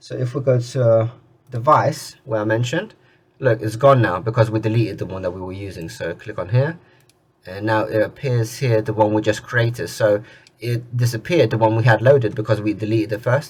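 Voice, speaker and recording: A man talks at a fairly quick pace with a medium pitch and ordinary pitch variation. His voice is somewhat breathy, with big swings in loudness. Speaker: tech tutorial youtuber. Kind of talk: screen-recorded tutorial. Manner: casual, with filler words; stuttering at times.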